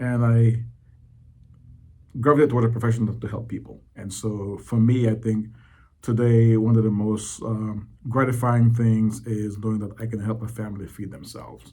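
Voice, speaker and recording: A man with a medium-pitched voice and a dark, mellow tone speaks at a moderate pace in a flat monotone, somewhat breathy. His loudness swings widely, and room echo is audible. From Belize. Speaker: economic development director. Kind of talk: interview. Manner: halting, many fillers.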